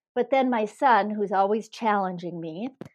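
A woman talks with a Minnesota accent and lively intonation. Her pace is moderate, and the background is quiet. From northern Minnesota. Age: 60s. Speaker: former marathon champion. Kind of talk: interview. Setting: phone call.

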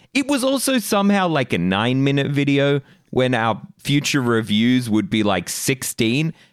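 A man with an Australian accent, medium pitch and very wide pitch swings at a moderate pace, on a very clean recording with a silent background. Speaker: podcast co-host. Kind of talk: casual chat.

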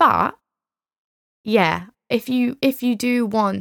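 Recorded dry and close with no echo, a woman speaks with a New Zealand accent. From England, then New Zealand from age nine. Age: 20s. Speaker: podcast host and young business founder. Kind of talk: casual solo chat. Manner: animated.

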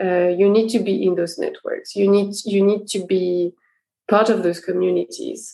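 Speaking at a moderate pace, a woman talks with a French accent. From France. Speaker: career coach. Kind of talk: casual interview conversation.

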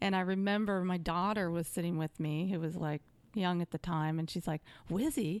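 Using a plain, everyday voice, a woman speaks at a moderate pace and fairly low pitch with fairly even intonation and very even loudness, in a dry, close sound with no echo. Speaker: sales executive. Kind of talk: casual interview chat.

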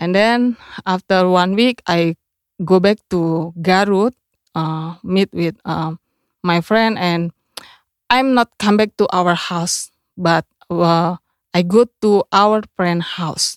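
In a very clean recording with a silent background and a dry, close sound with no echo, a woman speaks at a very slow pace with long, frequent pauses and ordinary pitch variation. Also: medium pitch for a woman. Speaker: missionary. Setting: studio. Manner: halting, simple English.

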